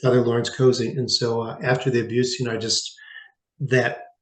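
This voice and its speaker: A man talks at a fairly quick pace in a somewhat breathy, medium-pitched voice. His intonation stays monotone and flat. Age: 60s. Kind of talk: interview testimony. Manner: halting, many fillers.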